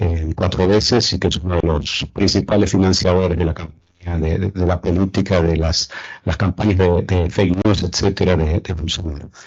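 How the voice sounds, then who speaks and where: A man speaks in a very deep, low, somewhat breathy voice with an Argentine accent. His delivery is moderately paced and monotone, with flat intonation. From Argentina. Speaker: political science professor. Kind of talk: panel talk. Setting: round table with audience. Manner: halting, many fillers.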